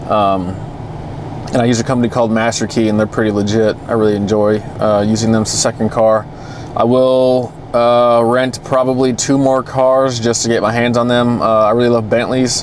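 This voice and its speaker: A man's medium-pitched voice with an American accent, moderate pace, flat monotone delivery, very even loudness, and noticeable background noise. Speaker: car vlogger. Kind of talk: casual vlog. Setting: in a car. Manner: hesitant with fillers.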